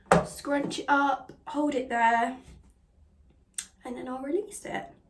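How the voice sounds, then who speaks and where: A woman's high-pitched voice comes through noticeable background noise. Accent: English. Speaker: beauty vlogger. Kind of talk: casual tutorial chat.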